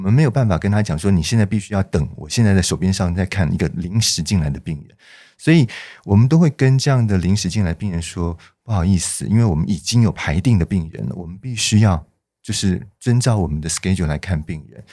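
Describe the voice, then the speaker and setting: A man with a very deep, low voice and a dark, mellow tone talks at a very fast pace, his intonation lively and his loudness swinging widely, on a very clean recording with a silent background. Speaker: dentist. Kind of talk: interview.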